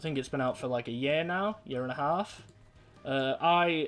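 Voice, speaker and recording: The speaker goes along at a fairly slow pace, with music behind the voice. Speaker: gaming youtuber. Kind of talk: casual gameplay commentary. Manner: relaxed, rambling.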